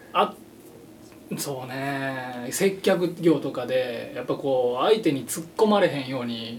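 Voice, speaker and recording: A Kansai accent with lively intonation, a fairly slow pace and big swings in loudness, over noticeable background noise. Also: man, medium pitch for a man. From Japan, Shiga. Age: 30s. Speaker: musician. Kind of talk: casual chat.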